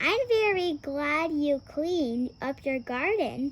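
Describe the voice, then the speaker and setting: A put-on character voice from a woman, pitched high and paced fairly slowly. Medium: read story. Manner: sweet, cheerful.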